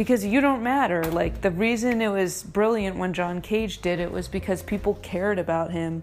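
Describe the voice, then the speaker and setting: A woman with a medium pitch speaks at a moderate pace with ordinary pitch variation. She leaves hardly any pauses, and there is noticeable background noise. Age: 30s. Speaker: podcast host, former stand-up comedian. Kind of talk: casual solo monologue while cleaning. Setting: at home in apartment.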